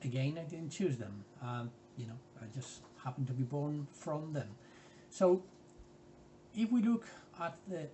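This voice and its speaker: A man's somewhat breathy, fairly high voice at a moderate pace. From Spain. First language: Spanish. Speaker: art workshop leader. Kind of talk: tutorial. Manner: hesitant, many fillers.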